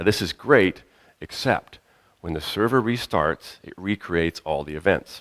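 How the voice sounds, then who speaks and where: This is a man speaking. The sound is dry and close, with no echo. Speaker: conference speaker. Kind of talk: technical conference presentation. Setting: conference stage with audience. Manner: fast; loud.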